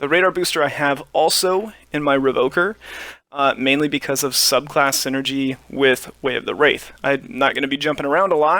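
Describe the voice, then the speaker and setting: Bright and sharp in tone, a man with a fairly high pitch speaks with ordinary pitch variation. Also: moderate pace. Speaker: gaming video creator. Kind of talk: gameplay commentary. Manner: relaxed, many filler uhs.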